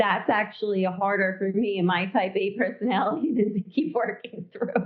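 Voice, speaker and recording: A woman's plain, everyday voice with an American accent, medium pitch, ordinary pitch variation, a moderate pace and very even loudness. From New York. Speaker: legal nurse consultant. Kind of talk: interview.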